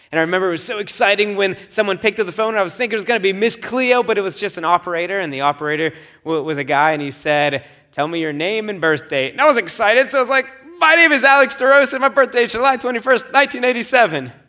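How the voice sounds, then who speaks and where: A man with a high, bright, sharp voice projects loudly at a very fast pace, his pitch swinging very widely. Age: 30s. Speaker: pastor. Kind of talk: sermon.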